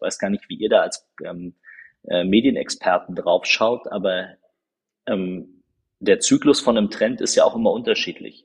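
The sound is dry and close, without any echo. A man speaks at a moderate pace. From Berlin (Marzahn-Hellersdorf). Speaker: politician. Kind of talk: podcast interview.

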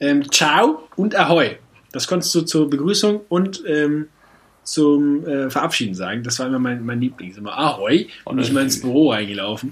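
This man talks at a moderate pace in a fairly high pitch, with lively intonation and an animated tone. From northern Germany. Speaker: podcast co-host. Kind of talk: casual chat.

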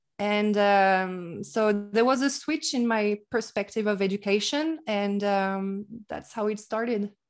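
In a French accent, a woman speaks fairly slowly at a medium pitch with ordinary pitch variation. The recording is very clean, with a silent background. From France. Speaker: English teacher. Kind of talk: casual interview.

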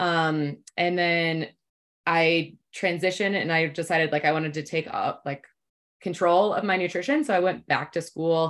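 A plain, everyday voice from a woman, fairly low in pitch, with fairly even intonation, a moderate pace and a very clean recording with a silent background. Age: 30s. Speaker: nutrition and fitness coach. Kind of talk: casual chat.

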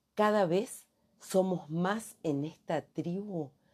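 A woman with a Rioplatense accent speaks against a quiet background. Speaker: career coach. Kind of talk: podcast monologue.

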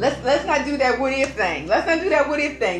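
A woman's high-pitched voice with lively intonation at a fairly quick pace over noticeable background noise. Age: 40s. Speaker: first date on a podcast. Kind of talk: casual chat.

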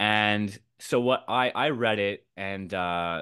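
A man with a Canadian accent talks with ordinary pitch variation. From Canada. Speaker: writer. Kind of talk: casual chat. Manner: halting.

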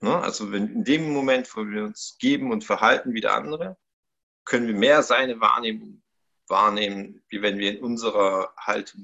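The speaker's volume rises and falls sharply. He is a man keeping a moderate pace. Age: 30s. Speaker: life coach. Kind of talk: podcast interview.

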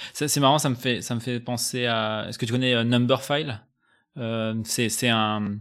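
On a very clean recording with a silent background, a man with a medium-pitched voice speaks at a fairly slow pace in a monotone, flat intonation. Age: 30s. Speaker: podcast host. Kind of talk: casual chat. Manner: halting, many repetitions.

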